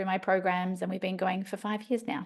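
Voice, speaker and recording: A woman speaks with an Australian accent in a flat, monotone way. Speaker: life coach. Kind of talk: podcast interview.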